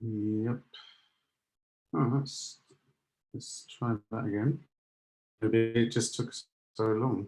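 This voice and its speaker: Somewhat breathy and dark, mellow in tone, a man speaks at medium pitch and a very slow pace, with fairly even intonation and long, frequent pauses. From London, England. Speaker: security solutions architect. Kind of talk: webinar presentation. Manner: halting, many fillers.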